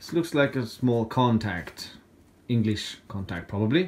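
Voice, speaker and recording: A man with a medium pitch, lively intonation and a Swedish accent. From Sweden. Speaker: YouTuber, scrap metal hobbyist; YouTuber. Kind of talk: casual vlog talk. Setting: at home. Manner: halting. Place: home room. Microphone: phone near.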